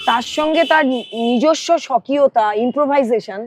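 With lively intonation and a high pitch, a woman speaks in a dry, close sound with no echo. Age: 60s. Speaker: talk show host, former radio broadcaster. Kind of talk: casual chat about music. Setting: outdoors by a lake.

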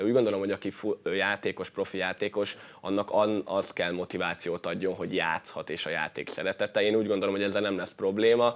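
The delivery comes at a very fast pace with monotone, flat intonation. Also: man, fairly low pitch for a man. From Hungary. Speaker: futsal player; guest. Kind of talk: sports interview. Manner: halting. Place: studio. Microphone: lapel.

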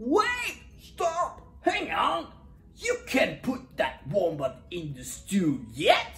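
This put-on character voice has a fairly bright tone and big pitch swings. It moves at a very slow pace.

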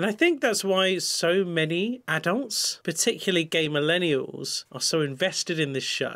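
A man with a British accent talks at a moderate pace with ordinary pitch variation over a quiet background. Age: 30s. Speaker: psychiatrist and YouTuber; YouTuber. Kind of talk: reaction video commentary. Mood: warm, wry. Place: home room.

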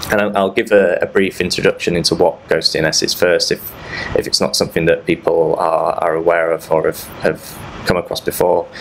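A man speaks in a British accent. Noticeable background noise is present. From UK. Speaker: threat researcher. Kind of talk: conference talk. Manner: halting, many repeated words.

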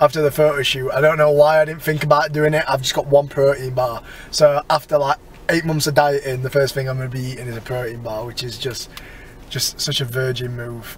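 With light background noise, a man talks at a fairly quick pace in a monotone, flat intonation, the sound dry with no echo. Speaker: fitness vlogger. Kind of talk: casual vlog chat. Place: car. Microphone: phone near.

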